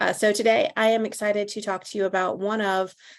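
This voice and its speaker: A woman speaks at a moderate pace and a medium pitch with a slight Southern US accent. The background is quiet. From US South, North Carolina. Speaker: legal tech sales advisor. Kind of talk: webinar presentation. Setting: online webinar. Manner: conversational with filler words.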